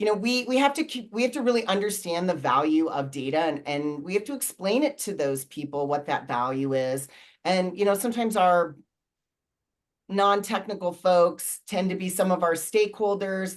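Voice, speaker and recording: A woman's voice at medium pitch, an ordinary speaking voice, with lively intonation and a moderate pace. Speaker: data management consultant and company founder. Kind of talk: panel discussion.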